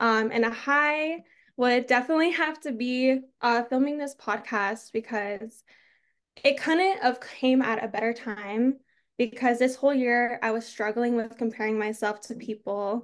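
Pitch variation is ordinary and the pace is moderate. The background stays quiet. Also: woman. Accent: American. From Arizona. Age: 20s. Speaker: content creator. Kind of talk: casual chat.

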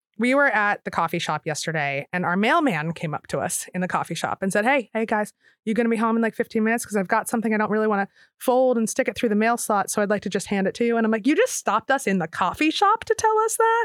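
Very fast and full of lively intonation, a woman talks with an American accent, the sound dry and close with no echo and the recording very clean over a silent background. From Philadelphia area. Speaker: novelist and journalist. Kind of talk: interview.

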